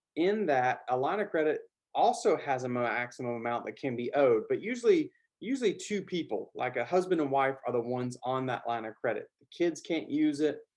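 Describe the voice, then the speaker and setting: Against a quiet background, a man's fairly high voice moves through very wide pitch swings. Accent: Southern US. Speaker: business finance educator. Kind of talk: tutorial. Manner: casual, with filler words.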